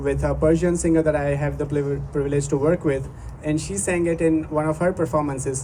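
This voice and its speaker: There is noticeable background noise and audible room echo. The speaker has a Gujarati accent. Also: man. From India, Gujarat. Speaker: musician. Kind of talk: stage introduction to a live performance. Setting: outdoor stage with audience. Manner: halting.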